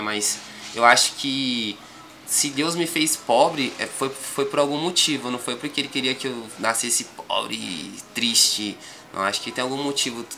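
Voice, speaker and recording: Fairly high-pitched male speech with lively intonation over noticeable background noise. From São Paulo, Grajaú. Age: 20s. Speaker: rapper. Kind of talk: casual interview.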